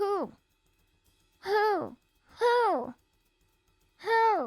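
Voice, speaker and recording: An extremely high-pitched put-on character voice with music in the background. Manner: hooting.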